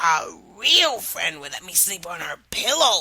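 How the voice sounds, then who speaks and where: Growling in a put-on character voice, a woman speaks at a fairly high pitch and a fairly slow pace. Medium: read story. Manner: polite, insistent.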